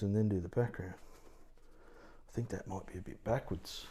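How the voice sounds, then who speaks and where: The voice has a dark, mellow tone and an Australian accent. Its intonation stays fairly even. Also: man. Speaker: watercolour art teacher. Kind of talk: live painting tutorial. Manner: casual, thinking aloud; quiet at times.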